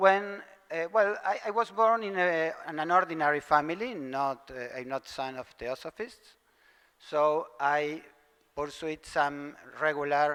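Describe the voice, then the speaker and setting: In a Spanish accent, a man speaks fairly slowly at a high pitch. His tone is bright and sharp, and his intonation is lively. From Argentina. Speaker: theosophical lecturer. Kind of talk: lecture. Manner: halting, hesitant.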